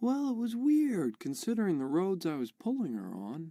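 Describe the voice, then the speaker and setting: A put-on character voice at a middle pitch swings very widely up and down, moving at a moderate pace on a very clean recording with a silent background. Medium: video game.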